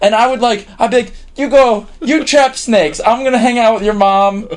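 In an American accent, a man talks with ordinary pitch variation. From Tucson, Arizona. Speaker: composer and musician. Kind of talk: casual interview.

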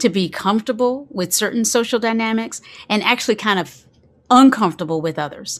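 With an American accent, a woman uses a normal speaking voice at a moderate pace and ordinary pitch variation, on a very clean recording with a silent background. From US South, eastern North Carolina. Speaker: mindfulness teacher. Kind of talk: lecture.

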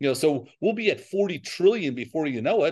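This is an ordinary speaking voice from a man with an American accent. He talks at a moderate pace against a quiet background. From New York. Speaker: financial advisor. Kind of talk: interview.

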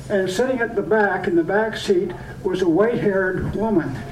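A man talks with a high pitch. Noticeable background noise runs under his voice. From Point Edward, Ontario. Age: 80s+. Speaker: poet. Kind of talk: poetry reading. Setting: restaurant event with audience.

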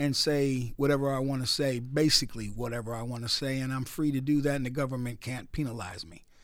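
A man with an American accent talks at a fairly quick pace in a normal speaking voice, fairly high in pitch with ordinary variation. The recording is very clean, with a silent background. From US Northeast, Newark, New Jersey. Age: 60s. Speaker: radio DJ and attorney. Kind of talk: radio interview.

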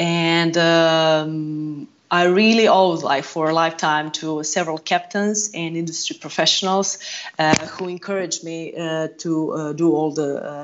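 A woman with a Croatian accent, over noticeable background noise. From Croatia, Zagreb. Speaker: yacht purser. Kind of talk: casual interview.

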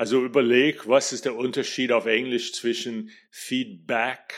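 With an American accent, a man speaks at a very slow pace in a medium pitch with monotone, flat intonation, on a very clean recording with a silent background. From US, New York. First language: English (speaking German). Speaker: NLP trainer and singing teacher. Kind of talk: solo podcast talk.

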